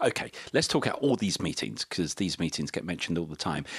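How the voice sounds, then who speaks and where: A man in a British accent, very fast with lively intonation, on a very clean recording with a silent background and a dry, close sound with no echo. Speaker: economist. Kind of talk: casual chat.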